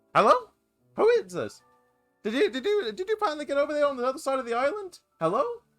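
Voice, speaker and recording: Over faint music in the background, a man in a put-on character voice with an extremely high pitch talks at a very fast pace in a raised, projected voice, with very wide pitch swings and long, frequent pauses. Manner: confused, calling out to someone.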